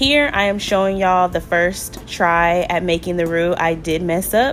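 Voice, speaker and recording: Music plays in the background as a woman speaks at a fairly low pitch. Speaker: home cook. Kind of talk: voiceover cooking tutorial.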